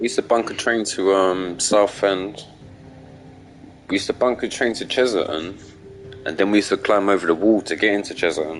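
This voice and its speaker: There is noticeable background noise as a man with a fairly low pitch and ordinary pitch variation talks at a fairly quick pace broken by long, frequent pauses. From South London, Deptford. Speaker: gaming streamer. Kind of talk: casual chat.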